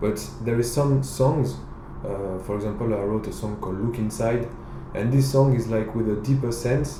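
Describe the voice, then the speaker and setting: In a French accent, a man at medium pitch speaks at a moderate pace with ordinary pitch variation, amid audible room echo and noticeable background noise. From France (Bordeaux, southwest). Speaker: reggae singer. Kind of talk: interview. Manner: halting, many fillers.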